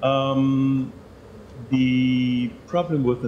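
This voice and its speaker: A man with a German accent speaks amid audible room echo. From Germany. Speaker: professor. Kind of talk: lecture. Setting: stage with audience. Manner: halting.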